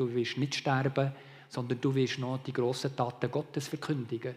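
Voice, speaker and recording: This man has a Bernese accent. His pitch sits in the medium range. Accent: Bernese Swiss German. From Malaysia (Sabah, Borneo), Swiss mother. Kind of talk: testimony.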